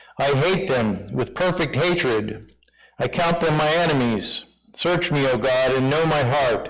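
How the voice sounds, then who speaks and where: Lively intonation marks this man's fairly high pitch. He goes at a fairly slow pace over noticeable background noise. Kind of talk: reading aloud; casual chat.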